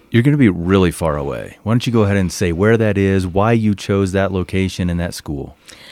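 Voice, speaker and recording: A man with a plain, everyday voice, fairly low pitch, ordinary pitch variation and a fairly quick pace. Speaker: podcast host. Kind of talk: interview.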